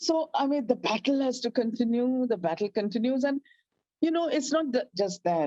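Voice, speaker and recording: Her voice is fairly high in pitch with a dark, mellow tone. The woman's sound is dry and close, with no echo. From India. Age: 60s. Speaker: activist. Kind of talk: interview. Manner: halting.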